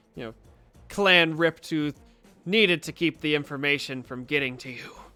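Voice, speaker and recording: Over faint background music, a man with a fairly high pitch uses a put-on character voice at a moderate pace. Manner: speaking through gritted teeth.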